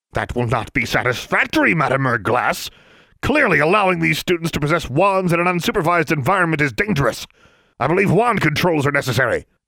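In a put-on character voice, a man bellows loudly in a pompous tone, with a fairly high pitch and a very fast pace. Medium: read story. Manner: pompous, bellowing, condescending.

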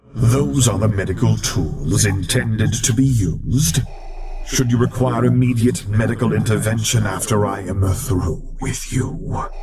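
A man's put-on character voice, growling and menacing, at a medium pitch and moderate pace, with noticeable background noise. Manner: menacing, growling.

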